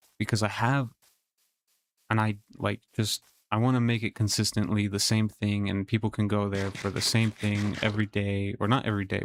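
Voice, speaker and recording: At a moderate pace, a man with a fairly low pitch talks in a monotone, flat intonation, recorded very cleanly with a silent background and a dry, close sound with no echo. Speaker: streamer. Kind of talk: casual live stream chat. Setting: home gaming setup with headset.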